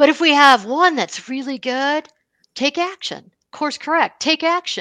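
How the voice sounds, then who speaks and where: A raised, projected voice with an American accent and a bright, sharp tone moves at a fairly slow pace. The sound is dry and close with no echo, over a quiet background. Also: woman, high pitch for a woman, ordinary pitch variation. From US, Buffalo, New York. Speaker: wealth management advisor. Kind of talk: interview.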